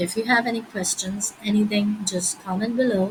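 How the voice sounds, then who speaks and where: Soft-spoken and at a fairly slow pace, a woman talks at medium pitch with ordinary pitch variation over noticeable background noise. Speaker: coding tutorial youtuber. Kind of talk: tutorial.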